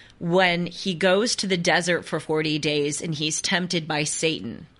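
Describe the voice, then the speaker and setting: Fairly low in pitch, a woman talks with an ordinary speaking voice. Her pace is fairly slow and her pitch varies in an ordinary way. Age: 20s. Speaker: podcast host. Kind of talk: interview.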